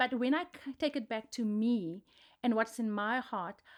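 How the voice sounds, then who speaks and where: A woman with a South African accent speaks at a high pitch on a very clean recording with a silent background. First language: Afrikaans. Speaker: podcast co-host. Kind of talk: casual chat.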